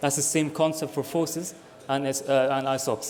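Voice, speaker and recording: A man's fairly high, monotone voice with a Scottish accent at a fairly quick pace, amid noticeable background noise and audible room echo. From Scotland. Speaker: student election candidate. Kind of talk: campaign speech.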